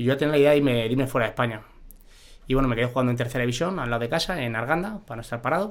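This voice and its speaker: A man's voice at a medium pitch. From Spain, Madrid. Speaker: former professional goalkeeper. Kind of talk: casual interview.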